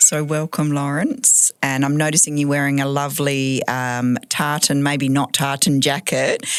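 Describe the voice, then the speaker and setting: A woman with an Australian accent and a very deep, low pitch talks fairly slowly with hardly any pauses, flat monotone intonation and very even loudness, over noticeable background noise. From Western Australia. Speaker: podcast co-host. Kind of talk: casual chat.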